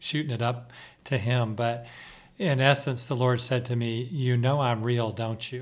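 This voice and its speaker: This man speaks at a fairly slow pace with a medium pitch and monotone, flat intonation. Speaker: prayer team member. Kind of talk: casual chat.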